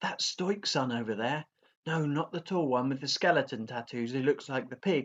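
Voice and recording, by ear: Reading aloud in a natural voice, over a quiet background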